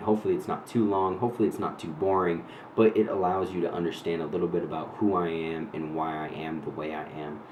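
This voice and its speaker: A man's very deep, low voice in an American accent, very fast pace, fairly even intonation, audible room echo. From New Hampshire, US New England. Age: 30s. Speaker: vlogger. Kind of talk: personal storytelling monologue. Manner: casual with many fillers.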